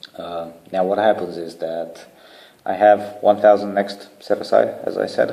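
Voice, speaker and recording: A man is speaking here. His pace is fairly slow. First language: not English (third language). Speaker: charity founder. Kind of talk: video proposal to online community. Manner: casual, hesitant with fillers.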